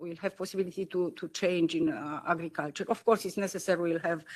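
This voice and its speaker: A woman in a Romanian accent, fairly low in pitch with fairly even intonation, on a very clean recording with a silent background. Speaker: politician. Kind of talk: panel discussion. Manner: halting.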